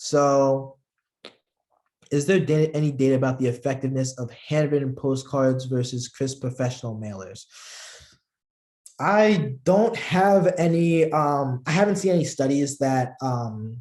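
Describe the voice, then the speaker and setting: A man with a fairly high pitch and ordinary pitch variation speaks at a fairly slow pace. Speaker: political campaign trainer. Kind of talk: online training class. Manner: halting, many fillers.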